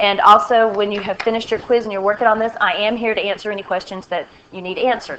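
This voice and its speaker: A woman's fairly high voice at a very fast pace, fairly even in intonation, with big swings in loudness over noticeable background noise. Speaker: math teacher. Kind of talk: recorded lesson tutorial. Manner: halting.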